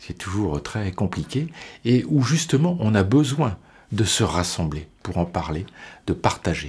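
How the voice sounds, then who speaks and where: Over a very clean recording with a silent background, a man of fairly low pitch speaks at a very slow pace, somewhat breathy, with very wide pitch swings. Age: 60s. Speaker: deacon. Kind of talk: interview testimony. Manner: halting, many repetitions and hesitations.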